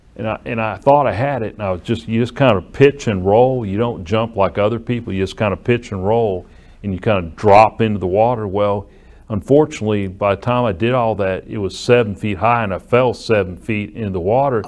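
With ordinary pitch variation, the delivery runs at a fairly quick pace in an ordinary speaking voice. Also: man, fairly low pitch for a man. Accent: American. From US South, Alabama (Muscle Shoals area). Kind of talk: interview.

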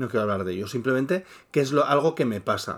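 In a very clean recording with a silent background, a man at medium pitch talks at a very fast pace with lively intonation. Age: 40s. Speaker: podcast co-host, YouTuber. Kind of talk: casual chat.

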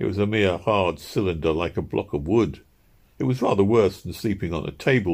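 Ordinary pitch variation in plain reading aloud

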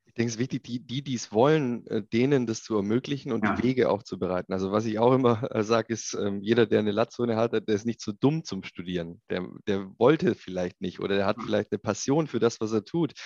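The voice moves at a very fast pace with big swings in loudness and ordinary pitch variation, in a dry, close sound with no echo. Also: man, medium pitch for a man. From Swabia, Ulm (southern Germany). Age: 30s. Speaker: industrial tech executive. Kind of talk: interview.

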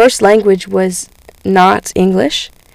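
Very slow speech from a woman, pitched at a medium level. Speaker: student giving a church talk. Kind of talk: sermon. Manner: halting, many fillers.

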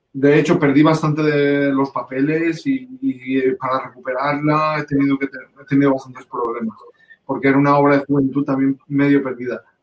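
The voice keeps a moderate pace. It is a normal speaking voice. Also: man. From Valencia region, Spain. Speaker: composer and conductor. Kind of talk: interview.

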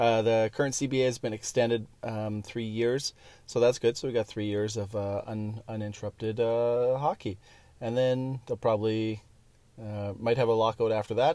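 A man with a Canadian accent, dark, mellow tone and monotone, flat intonation. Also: medium pitch for a man, moderate pace. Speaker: hockey podcast host. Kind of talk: solo monologue. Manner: casual, many filler words.

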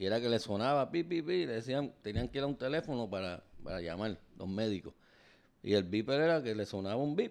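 A man at medium pitch with a Puerto Rican accent, lively intonation and a fairly quick pace, over a quiet background. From Puerto Rico. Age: 50s. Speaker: podcast co-host, teacher. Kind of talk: casual chat.

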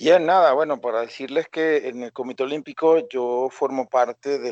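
In an unremarkable speaking voice, a man delivers his words at a medium pitch and a moderate tempo. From Venezuela, Coro (Falcón state). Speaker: sports scientist and fitness coach. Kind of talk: podcast interview.

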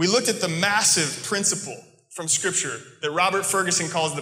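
Over noticeable background noise, a man with an American accent talks at a fairly quick pace in a high pitch, keeping his intonation fairly even. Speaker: preacher. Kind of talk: sermon. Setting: church with congregation.

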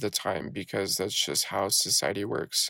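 A man with a fairly low pitch talks at a moderate pace in an unremarkable speaking voice. The sound is dry and close with no echo, on a very clean recording with a silent background. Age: 20s. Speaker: podcast host and network marketer. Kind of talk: solo casual monologue. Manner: many fillers (uh, um, you know).

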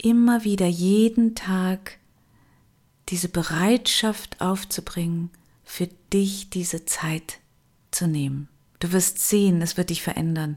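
A woman speaks at a very slow pace, with long, frequent pauses. Her pitch is medium, with ordinary variation. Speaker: meditation guide and coach. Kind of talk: guided meditation. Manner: slow, soft, calming, with long pauses; gentle, soothing, intimate.

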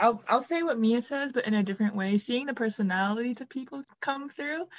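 Speaking at a fairly quick pace in an ordinary speaking voice, a woman with an American accent has a fairly high pitch and ordinary pitch variation. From Wisconsin, near Milwaukee. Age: 20s. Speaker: college student, team member. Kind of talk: casual chat.

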